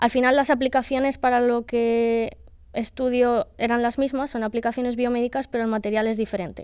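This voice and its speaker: A woman's high-pitched, monotone, flat delivery at a fairly quick pace over a quiet background. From Spain, Valencian Community (Benidorm). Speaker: PhD student in nanoscience. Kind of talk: casual interview. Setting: studio. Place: hall. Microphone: studio mic.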